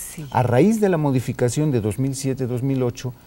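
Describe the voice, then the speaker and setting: This man has a dark, mellow tone, ordinary pitch variation, and speaks with a Mexican accent. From Mexico. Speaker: electoral official guest. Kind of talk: TV interview. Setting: studio. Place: studio.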